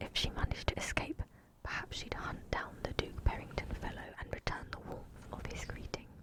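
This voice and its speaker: With noticeable background noise, the whispering moves at a moderate pace. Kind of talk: audiobook-style fantasy reading. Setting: close microphone, studio.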